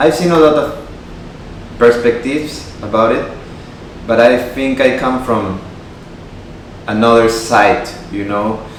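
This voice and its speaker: A man's medium-pitched voice with a Spanish accent, very slow and fairly even in intonation, with audible room echo and noticeable background noise. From Peru (Lima). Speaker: guitarist and YouTuber. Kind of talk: casual talk to camera. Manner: informal with fillers.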